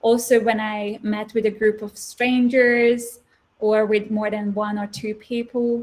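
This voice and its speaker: Somewhat breathy, a woman's fairly high voice carries fairly even intonation. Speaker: former stutterer, guest speaker. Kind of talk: interview answer. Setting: interview.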